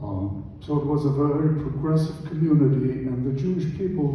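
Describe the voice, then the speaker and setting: The voice shows ordinary pitch variation, with audible room echo and noticeable background noise in the recording. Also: man. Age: 80s+. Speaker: Holocaust survivor speaker. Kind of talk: lecture presentation with slides. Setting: church presentation with audience.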